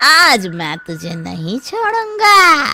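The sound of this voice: In a cartoonish character voice, a man speaks slowly at an extremely high pitch, his bright, sharp tone swinging very widely in pitch.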